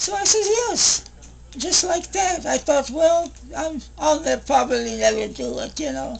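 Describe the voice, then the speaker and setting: A woman at a fairly slow pace, noticeable background noise behind her. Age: 80s+. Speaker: retired hairdresser. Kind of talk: interview answer.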